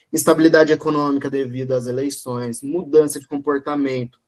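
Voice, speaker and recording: This man has a normal speaking voice, fairly high in pitch. His intonation stays fairly even. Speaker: e-commerce consultor, guest lecturer. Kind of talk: online lecture.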